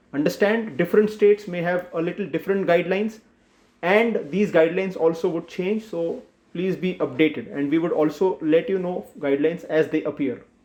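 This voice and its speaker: With a high pitch, ordinary pitch variation and a fairly quick pace, a man is speaking. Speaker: doctor. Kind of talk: health awareness explainer. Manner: simple, plain explanation.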